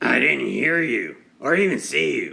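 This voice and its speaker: Using a put-on character voice, a man sounds raspy. His delivery holds a moderate pace. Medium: read story. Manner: indignant.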